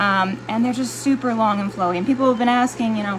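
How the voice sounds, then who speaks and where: Noticeable background noise fills the recording. A female speaker is talking. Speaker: aquarium fish breeder and curator. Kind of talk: informal video tutorial. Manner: loud, shouting; hesitant, many fillers. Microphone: no microphone.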